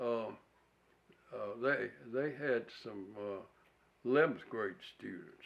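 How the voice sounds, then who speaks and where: Medium in pitch with ordinary variation, a man speaks with an Alabama accent. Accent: Southern US, Alabama. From US South, rural Alabama near Wedowee. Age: 80s+. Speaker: war veteran. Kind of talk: oral history interview. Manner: halting, many uh pauses.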